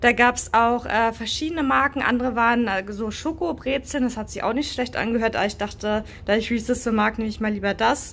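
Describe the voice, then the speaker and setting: A woman with a high pitch talks at a moderate pace. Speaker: snack taste-test vlogger. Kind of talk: casual vlog chat. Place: home room. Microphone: phone near.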